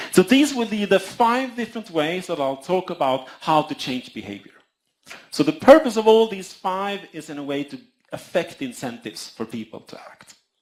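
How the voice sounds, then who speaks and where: A man's high-pitched voice at a moderate pace, with very wide pitch swings and big swings in loudness. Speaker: economics lecturer. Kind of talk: lecture. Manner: halting, repeats words.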